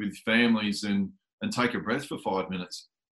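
A man with an Australian accent speaks at a moderate pace in a monotone, flat intonation. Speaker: podcast host. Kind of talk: casual interview.

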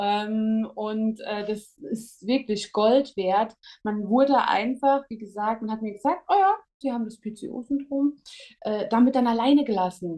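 A woman's fairly high, dark and mellow voice at a fairly slow pace, with ordinary pitch variation. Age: 30s. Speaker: psychiatric nurse. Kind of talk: interview. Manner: hesitant with fillers.

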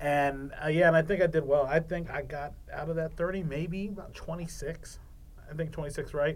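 A normal speaking voice from a man with an American accent, fairly high pitch, fairly even intonation, and a moderate pace. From Maryland, Eastern Shore (Salisbury). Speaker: sports producer, game show contestant. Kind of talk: casual chat.

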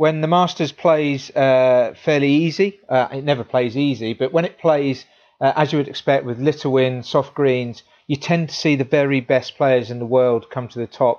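A man with an English accent, fairly high in pitch, with fairly even intonation and a moderate pace. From England. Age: 30s. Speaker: golf equipment reviewer. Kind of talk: casual sports chat.

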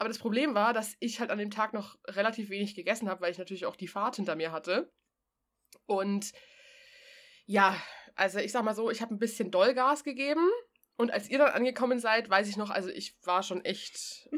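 Long, frequent pauses break up a woman's fairly quick speech, her fairly high pitch moving with ordinary variation. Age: 30s. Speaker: podcast co-host. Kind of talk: casual chat. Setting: remote call with co-host.

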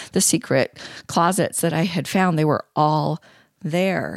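On a very clean, dry, close recording with a silent background and no echo, a woman with an unremarkable speaking voice talks at a fairly low pitch and a moderate pace. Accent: American. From US Pacific Northwest (Eugene, Oregon). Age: 50s. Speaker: storyteller. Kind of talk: interview. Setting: recording at night in a cold basement.

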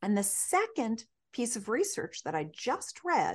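Against a quiet background, a woman speaks at a high pitch with very wide pitch swings. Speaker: sex educator and author. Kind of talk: interview. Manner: energetic.

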